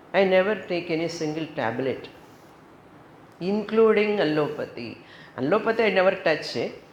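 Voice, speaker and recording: Audible room echo surrounds a woman speaking. She talks at a fairly slow pace with ordinary pitch variation. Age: 70s. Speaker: yoga teacher and spiritual teacher. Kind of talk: spiritual talk.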